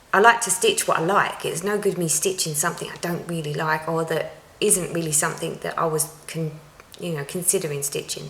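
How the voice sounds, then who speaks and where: A woman's voice in an Essex accent with ordinary pitch variation, over noticeable background noise. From Essex, England. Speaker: cross-stitch vlogger. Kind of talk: casual vlog talk to viewers. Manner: chatty, frequent ums.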